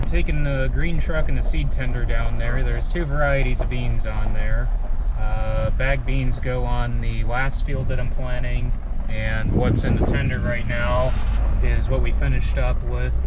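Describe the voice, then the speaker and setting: Amid loud background noise, a man speaks at a moderate pace, his sound dry with no echo. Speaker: young farmer vlogger. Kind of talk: casual vlog chat. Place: car. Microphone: headset.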